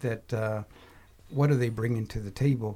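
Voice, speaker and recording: In an American accent, a man talks with a dark, mellow tone, somewhat breathy, with ordinary pitch variation. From Texas. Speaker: university program director. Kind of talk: panel discussion.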